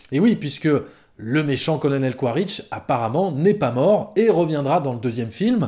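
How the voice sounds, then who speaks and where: This man's tone is dark and mellow. He keeps a moderate pace while his pitch swings very widely. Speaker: film critic YouTuber. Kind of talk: film review monologue. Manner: hesitant with fillers.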